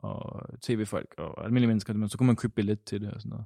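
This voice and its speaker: Talking very fast, a man uses a fairly low pitch with fairly even intonation. The recording is very clean and dry, close with no echo and a silent background. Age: 20s. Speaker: theology student. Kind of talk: interview. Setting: synagogue.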